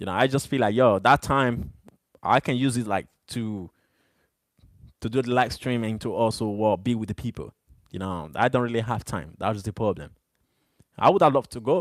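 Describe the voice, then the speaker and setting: At medium pitch, a man talks at a fairly quick pace broken by long, frequent pauses, in a dry, close sound with no echo on a very clean recording with a silent background. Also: ordinary pitch variation. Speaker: livestreamer. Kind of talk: livestream chat. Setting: live stream. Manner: fast; animated.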